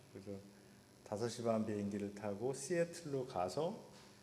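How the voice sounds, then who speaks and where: At a moderate pace, a man talks in a fairly low voice. Audible room echo surrounds him. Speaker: professor and pastor giving a lecture. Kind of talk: lecture. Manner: hesitant with many fillers.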